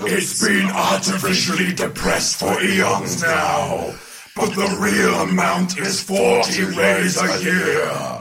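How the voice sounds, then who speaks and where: Over clear background noise, a man does a put-on character voice at a fairly slow pace. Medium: audio drama. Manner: breezy, matey.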